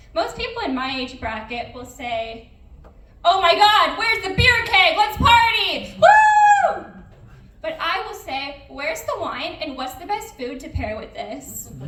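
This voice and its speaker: Extremely high-pitched female speech with very wide pitch swings at a fairly slow pace, amid noticeable background noise and audible room echo. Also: big swings in loudness. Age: 20s. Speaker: stand-up comedian. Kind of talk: stand-up. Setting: stage with audience.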